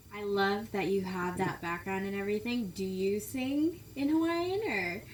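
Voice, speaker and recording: The intonation is lively and the pace moderate. Noticeable background noise is present. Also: woman, medium pitch for a woman. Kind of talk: interviewer questions.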